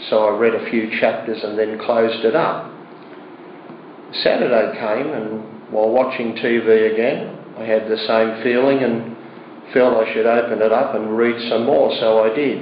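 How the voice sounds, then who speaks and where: With an Australian accent, a man speaks at a moderate pace and medium pitch in a monotone, flat delivery, with audible room echo and noticeable background noise. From Australia, Sydney. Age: 60s. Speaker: churchgoer giving testimony. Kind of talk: testimony. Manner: halting, with many fillers.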